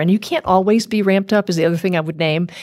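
The pitch varies in an ordinary way. It is a plain, everyday voice. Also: woman. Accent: American. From US South, rural South Louisiana Cajun country. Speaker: corporate marketing executive and school board chair. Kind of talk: interview.

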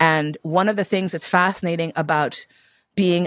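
In a plain, everyday voice, a woman with an American accent speaks at a fairly quick pace and a fairly low pitch with ordinary pitch variation. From New York City. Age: 50s. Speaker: BDSM educator and writer. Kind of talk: life story interview.

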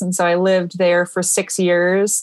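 In a Michigan accent, a woman talks at a medium pitch. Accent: US Midwestern (Michigan). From US Midwest (Michigan). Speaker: podcast host and author. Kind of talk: casual interview chat.

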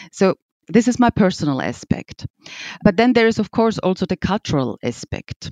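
The sound is dry and close with no echo as a woman speaks with a German accent. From Austria. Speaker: piano company executive. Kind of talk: interview.

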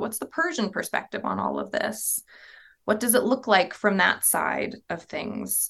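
A woman with an American accent has a fairly high pitch, vocal fry and lively intonation. She speaks at a moderate pace. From US South, southern Virginia (Appalachia). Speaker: museum curator. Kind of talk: interview.

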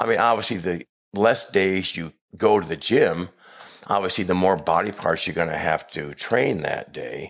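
This man's voice is very deep and low. He speaks at a moderate pace with ordinary pitch variation. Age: 60s. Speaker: doctor. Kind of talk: interview.

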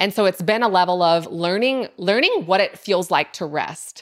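A woman talks at a moderate pace in a plain, everyday voice, her medium pitch rising and falling in an ordinary way. The recording is very clean, with a silent background. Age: 30s. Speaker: entrepreneur. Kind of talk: casual chat.

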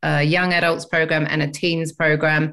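A woman speaks with an English accent at a moderate pace. Her very deep, low voice has monotone, flat intonation. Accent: English, living in Australia, noticeable. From England. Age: 50s. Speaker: ADHD advocate and educator. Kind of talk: interview chat.

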